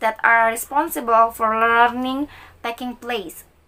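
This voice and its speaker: A woman talks at a moderate pace in a high-pitched voice with a bright, sharp tone. The recording is very clean, with a silent background. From Indonesia, Bandung (West Java, Sundanese). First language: Sundanese. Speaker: university student. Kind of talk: recorded class assignment answering exam questions. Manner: halting, with many fillers.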